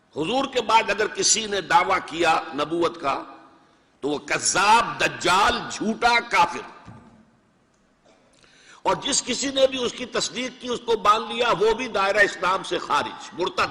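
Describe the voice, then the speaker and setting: His voice is raised and projected, with lively intonation. The man speaks at a high pitch. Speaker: Islamic scholar. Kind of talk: religious lecture.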